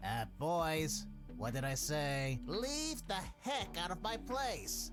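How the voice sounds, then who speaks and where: A put-on character voice at a middle pitch and a very slow pace, with loud music in the background. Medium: video game. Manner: curt, mercenary.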